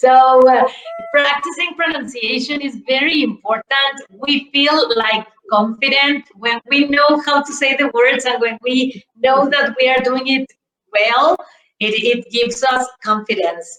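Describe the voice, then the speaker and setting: Speaking with a Spanish accent at a fairly slow pace, a woman raises and projects her high-pitched voice, with ordinary pitch variation. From Mexico. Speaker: English teacher, conference presenter. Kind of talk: conference Q&A. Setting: virtual conference.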